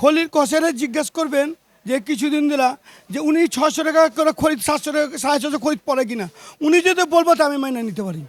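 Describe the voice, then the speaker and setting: This man's voice sits at an extremely high pitch, with ordinary pitch variation. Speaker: butcher. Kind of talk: casual interview.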